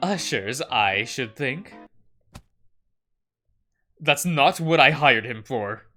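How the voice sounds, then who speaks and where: Over background music, a man in a put-on character voice booms loudly at a medium pitch. He speaks at a very slow pace with lively intonation. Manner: raised voice, dismissive, imperious.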